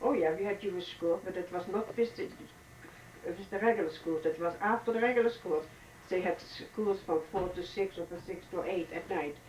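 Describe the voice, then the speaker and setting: Noticeable background noise sits behind a woman speaking with a Dutch accent. She talks at a moderate pace and a medium pitch, with ordinary pitch variation. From Netherlands, The Hague. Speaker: oral history interviewee. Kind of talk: oral history interview. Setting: hotel. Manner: halting.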